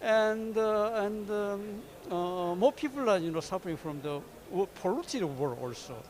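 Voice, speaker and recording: With a Korean accent, a man speaks at a high pitch. His pace is moderate and his intonation is lively. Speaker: diplomat. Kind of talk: closing remarks. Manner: halting.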